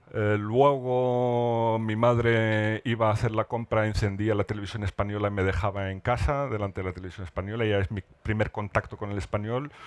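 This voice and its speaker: A man speaks at a fairly quick pace with hardly any pauses, his pitch fairly low. The sound is dry and close with no echo, and his intonation stays fairly even. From northern Morocco (Rif, Alhucemas). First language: Amazigh (speaking Spanish). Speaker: writer. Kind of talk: literary panel discussion. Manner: halting, many repetitions.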